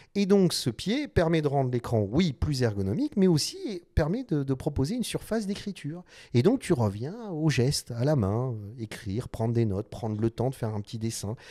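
Dark, mellow male voice at a moderate pace, with very wide pitch swings and a quiet background. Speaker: designer and YouTuber; YouTuber. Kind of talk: casual vlog monologue. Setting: design studio. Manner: animated, hesitant with many fillers. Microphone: studio mic.

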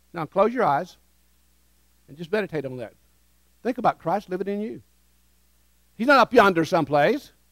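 Over a quiet background, a man with a Southern US accent talks fairly quickly in a high, animated voice, with very wide pitch swings, big swings in loudness and long, frequent pauses. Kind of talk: sermon with call-and-response. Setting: church with congregation. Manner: animated, interactive, leads the congregation in repeating phrases; warm, urgent, exhorting. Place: church. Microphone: headset.

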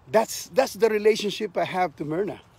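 The sound is dry with no echo. A man speaks with ordinary pitch variation. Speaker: martial arts instructor. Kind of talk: casual vlog chat. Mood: fond reminiscing, smiling. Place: open country. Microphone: phone near.

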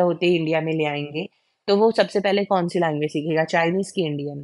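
Against a quiet background, a woman speaks in a fairly low pitch with fairly even intonation, an unremarkable speaking voice in a dry, close sound with no echo. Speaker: educational YouTuber teaching pedagogy. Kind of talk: lecture.

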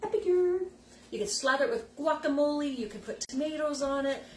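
Over light background noise and audible room echo, a woman talks at a fairly quick pace. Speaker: product consultant host. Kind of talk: casual live demo chat. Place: kitchen. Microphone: phone near.

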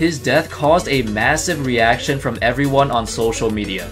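Over music in the background, a man talks at a moderate pace with ordinary pitch variation. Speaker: video narrator. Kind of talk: narrated sports story.

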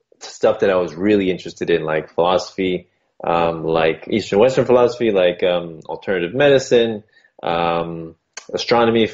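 A plain, everyday voice from a man, fairly low in pitch with ordinary variation. He keeps a moderate pace over a quiet background. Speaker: interview guest. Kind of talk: interview answer. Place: home room. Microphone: video call.

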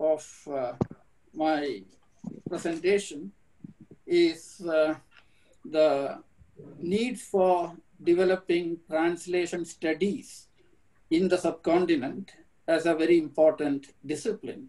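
At a very slow pace with long, frequent pauses, a man with a Keralan accent talks in a high pitch with ordinary pitch variation. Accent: Indian English (Malayali). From India, Kerala. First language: Malayalam. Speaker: professor. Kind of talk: lecture. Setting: video call. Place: home room. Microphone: webcam.

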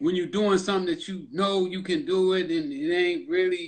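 Against a quiet background, a man talks at a fairly quick pace in a high voice. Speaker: podcast host. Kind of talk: casual interview conversation. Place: home room. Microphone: video call.

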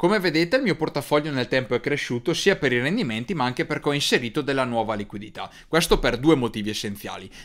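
Very fast, lively speech with hardly any pauses against a quiet background. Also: man, fairly high pitch for a man. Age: 20s. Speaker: finance youtuber. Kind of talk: tutorial. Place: studio. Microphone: studio mic.

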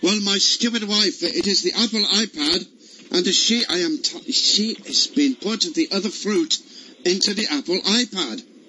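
A man puts on a character voice in an Italian accent, high-pitched, bright and sharp. He speaks at a fairly slow pace with ordinary pitch variation.

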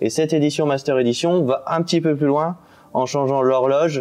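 Delivering his words at a fairly quick pace, a man uses a fairly high pitch and fairly even intonation with a dark, mellow tone. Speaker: hi-fi product writer. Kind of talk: product presentation. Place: studio.

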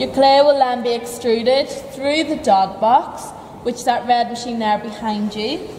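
With audible room echo, a woman speaks fairly high and fairly slowly, her intonation fairly even.

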